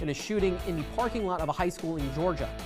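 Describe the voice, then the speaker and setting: A man with an American accent and ordinary pitch variation, with music in the background. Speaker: television news reporter and fill-in anchor. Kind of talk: local TV newscast read. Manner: clear, professional, brisk.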